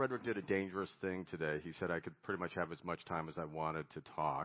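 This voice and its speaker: A man with a very deep, low pitch talks at a fairly quick pace with an American accent. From United States. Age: 60s. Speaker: recovery fellowship speaker, board chairman. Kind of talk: recovery meeting talk.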